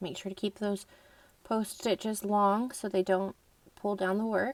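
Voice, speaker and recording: An unremarkable speaking voice moves at a fairly slow pace with fairly even intonation, in a dry, close sound with no echo. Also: woman, medium pitch for a woman. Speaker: crochet instructor. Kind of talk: tutorial.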